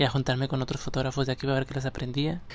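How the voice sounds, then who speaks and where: A man is speaking. His pitch sits fairly high. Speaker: actor and children's entertainer. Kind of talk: casual interview chat.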